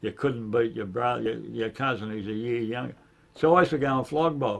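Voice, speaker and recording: A man with a strong Australian accent speaks at a fairly quick pace and medium pitch, with ordinary pitch variation and a quiet background. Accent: broad Australian. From Sydney, Australia. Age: 70s. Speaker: former gangster and enforcer. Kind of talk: casual interview chat. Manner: halting, repetitive.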